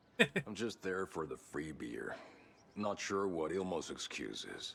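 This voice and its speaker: A man puts on a raspy, deadpan character voice at very deep, low pitch and a fairly slow pace, with clear background noise behind him. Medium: video game. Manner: gruff, deadpan.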